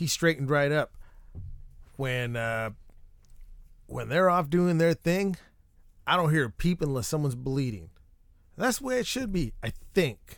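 A man's fairly high voice at a moderate pace, with very wide pitch swings and long, frequent pauses. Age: 30s. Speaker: podcast host. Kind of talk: casual monologue. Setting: treehouse recording space. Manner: rambling, self-interrupting.

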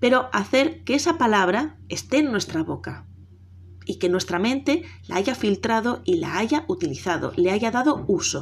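The recording is very clean, with a silent background. The speaker talks at a fairly slow pace. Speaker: teacher hosting a podcast. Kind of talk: educational monologue. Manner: somewhat halting, with fillers.

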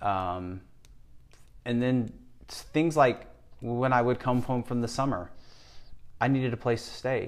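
At a fairly slow pace, a man speaks in a medium pitch with ordinary pitch variation. Long, frequent pauses break up his speech. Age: 50s. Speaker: personal trainer and gym owner. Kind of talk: interview, personal life story. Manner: hesitant, with repetitions and fillers.

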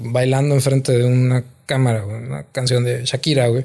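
With an unremarkable speaking voice, a man talks at a medium pitch and keeps a moderate pace. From northern Mexico, Gómez Palacio, Durango. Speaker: comedian. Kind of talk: casual chat. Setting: studio.

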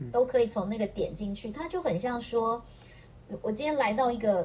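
Lively intonation and a fairly high pitch shape this woman's voice. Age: 50s. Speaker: aromatherapist. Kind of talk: casual interview chat.

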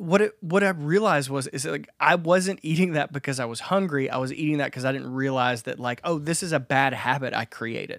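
A man speaks in a fairly high pitch with ordinary pitch variation and hardly any pauses. The recording is very clean, with a silent background. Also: fairly quick pace. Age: 30s. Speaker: podcast host, musician. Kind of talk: casual chat. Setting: home studio.

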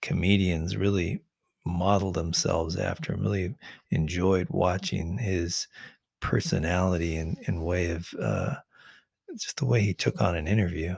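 On a very clean recording with a silent background, a man with a very deep, low pitch speaks at a moderate pace, somewhat breathy, with ordinary pitch variation. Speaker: podcast host and producer.

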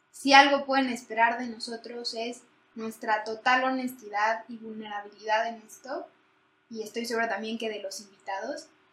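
A woman speaks at a moderate pace with a fairly high pitch. Her intonation is fairly even, while her loudness swings widely. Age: 20s. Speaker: podcast co-host, economics student. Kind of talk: casual chat.

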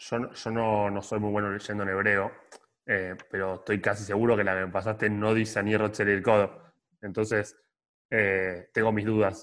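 Against a quiet background, a man speaks at a moderate pace and a fairly low pitch in a flat monotone. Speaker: podcast co-host. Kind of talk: casual interview chat.

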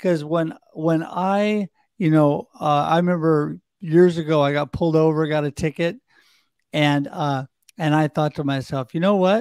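A man with an American accent and a fairly high pitch talks at a moderate pace, the sound dry and close with no echo in a very clean recording with a silent background. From US Pacific Northwest. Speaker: podcast host. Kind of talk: casual panel discussion. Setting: live video show. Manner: animated, upbeat.

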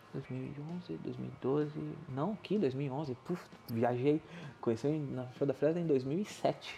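A man speaks at a very slow pace in a fairly high pitch. His tone is dark and mellow, somewhat breathy. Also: ordinary pitch variation. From southern Brazil, Rio Grande do Sul. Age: 30s. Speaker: podcast host. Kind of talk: casual solo monologue.

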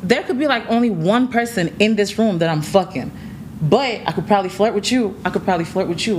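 A woman talking very fast with lively intonation over noticeable background noise. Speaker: TikTok creator. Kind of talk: casual podcast chat. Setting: podcast recording with mic.

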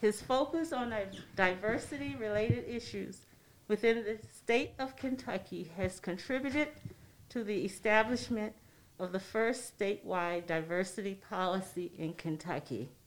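A woman of medium pitch uses an ordinary speaking voice, moving at a moderate pace with lively intonation. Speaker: board president, podcast co-host. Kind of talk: casual chat.

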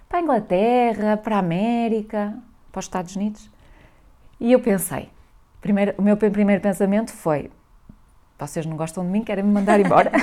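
Recorded very cleanly against a silent background, a woman with a northern Portuguese accent and a dark, mellow tone speaks at a fairly quick pace and medium pitch, with ordinary pitch variation and long, frequent pauses. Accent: northern Portuguese (Minho). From northern Portugal, Valença do Minho. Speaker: scientist and social entrepreneur. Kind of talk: interview.

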